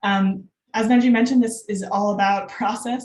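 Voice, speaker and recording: The woman sounds somewhat breathy, with fairly even intonation. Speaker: data visualization designer. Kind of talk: conference talk. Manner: fast; many filler words.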